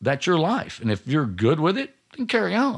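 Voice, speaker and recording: Very wide swings run through the pitch. Vocal fry can be heard too. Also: man. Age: 40s. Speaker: roofing company owner. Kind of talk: interview. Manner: halting.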